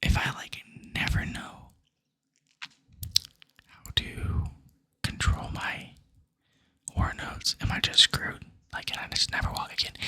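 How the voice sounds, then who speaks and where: A man whispering at a fairly slow pace, with long, frequent pauses and big swings in loudness. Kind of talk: ASMR whispered-style talk while studying. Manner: casual, rambling, curious.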